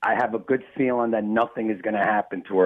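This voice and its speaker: A man is speaking. He has a Bronx accent. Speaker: caller. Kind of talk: phone call to radio show. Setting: phone call.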